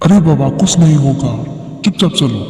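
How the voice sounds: Using a cartoonish character voice, a man speaks at a fairly high pitch with a clear echo.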